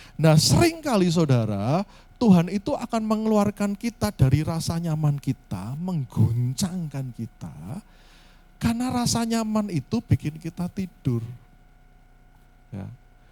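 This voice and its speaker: Heard with a dry, close sound with no echo, a man speaks at a fairly slow pace in a high pitch, his tone dark and mellow and his pitch swinging very widely. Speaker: pastor. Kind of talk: sermon. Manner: soft-spoken; halting.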